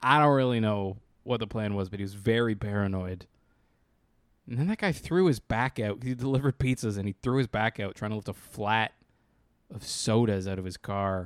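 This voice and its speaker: An unremarkable speaking voice from a man at a moderate pace, with ordinary pitch variation, dry, close sound with no echo and a very clean recording over a silent background. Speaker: podcast co-host. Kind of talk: casual comedic banter. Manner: joking.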